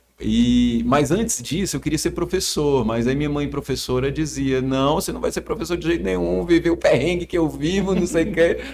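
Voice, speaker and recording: Music plays in the background as a man with a northeastern Brazilian accent talks at a moderate pace with hardly any pauses. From Ceará, Brazil. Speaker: psychiatrist. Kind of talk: casual chat.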